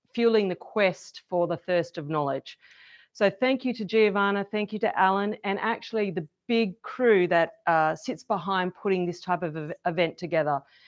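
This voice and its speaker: At a moderate pace, a woman with an Australian accent speaks with ordinary pitch variation. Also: medium pitch for a woman. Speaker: event host. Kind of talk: event introduction to live audience.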